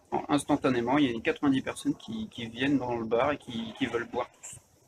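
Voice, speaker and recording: A man talks at a fairly quick pace with ordinary pitch variation. His pitch is medium. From France. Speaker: vlogger. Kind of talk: casual chat. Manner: halting, many fillers.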